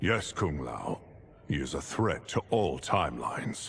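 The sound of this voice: A put-on character voice from a man, extremely low-pitched with vocal fry, a fairly bright tone, big pitch swings and a slow pace.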